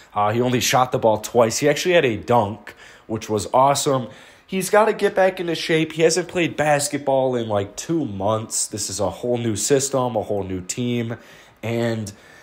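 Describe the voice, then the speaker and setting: A man with an unremarkable speaking voice talks at a moderate pace, his medium pitch carried by lively intonation. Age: 20s. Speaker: YouTube basketball commentator. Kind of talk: casual video commentary.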